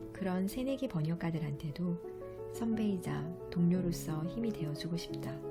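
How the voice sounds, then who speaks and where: Background music plays throughout. Over it, a woman talks at a moderate pace. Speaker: audiovisual translator and book author. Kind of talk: audiobook reading of own book's prologue. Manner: soft-spoken ASMR-style reading.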